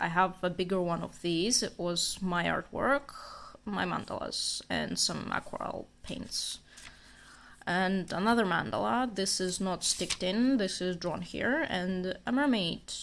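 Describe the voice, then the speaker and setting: A woman's fairly slow speech with a non-native accent. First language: not English. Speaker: amateur artist, vlogger. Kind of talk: casual sketchbook walkthrough. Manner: casual, filler-heavy.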